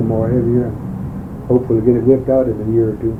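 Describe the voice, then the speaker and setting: Amid audible room echo, a man with an American accent speaks at a medium pitch in a monotone, flat delivery. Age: 60s. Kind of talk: oral history interview. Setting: interview at home, cassette recording. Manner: halting.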